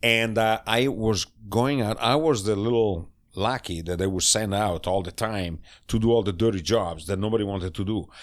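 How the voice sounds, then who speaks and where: This man speaks in an Italian accent at a moderate pace. His voice is fairly low with ordinary pitch variation, on a very clean recording with a silent background. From northern Italy, Cremona/Mantova area. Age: 60s. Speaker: chef. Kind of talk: casual interview. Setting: home studio. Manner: animated.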